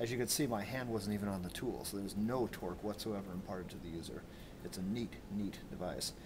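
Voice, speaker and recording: A man talks at a very fast pace in a fairly low voice, with noticeable background noise behind him. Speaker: instructor. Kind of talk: tutorial. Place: workshop. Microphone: phone near.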